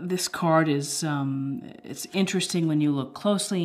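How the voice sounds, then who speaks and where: A woman speaks with a very deep, low pitch. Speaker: tarot reader. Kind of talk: tarot reading commentary. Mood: calm, reflective. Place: home room.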